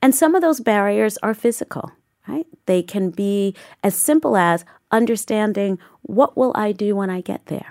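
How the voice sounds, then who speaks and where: In a dry, close sound with no echo, a normal speaking voice moves at a moderate pace with lively intonation. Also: woman, medium pitch for a woman. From Southeast Queens, New York City. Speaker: museum director and curator. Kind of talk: interview conversation.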